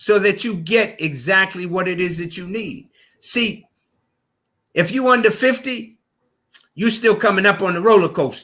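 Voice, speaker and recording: Projecting in a raised voice, a man with a high pitch and bright, sharp tone speaks at a moderate pace with ordinary pitch variation and long, frequent pauses, on a very clean recording with a silent background. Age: 70s. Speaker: naturopathic health doctor. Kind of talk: podcast interview.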